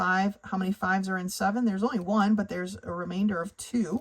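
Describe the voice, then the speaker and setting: Her voice somewhat breathy, a woman speaks at medium pitch. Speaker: math tutor. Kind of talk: tutorial.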